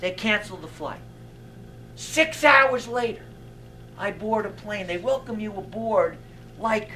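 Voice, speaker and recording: A raised, projected voice moves at a fairly slow pace with ordinary pitch variation. Loudness swings widely over light background noise. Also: man. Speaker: stand-up comedian. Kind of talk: stand-up comedy monologue. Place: stage.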